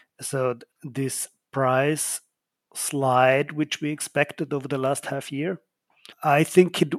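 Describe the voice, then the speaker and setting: A man with an Austrian accent speaks at a fairly slow pace in a fairly high voice, with big swings in loudness. The sound is dry and close, with no echo. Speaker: oil company co-owner. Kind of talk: casual chat.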